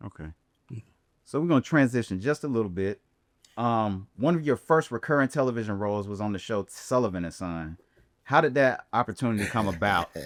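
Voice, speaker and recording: A man speaks at a fairly quick pace with lively intonation, in an ordinary speaking voice at medium pitch. The recording is very clean with a silent background and a dry, close sound with no echo. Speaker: podcast host. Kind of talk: podcast host introduction and interview questions.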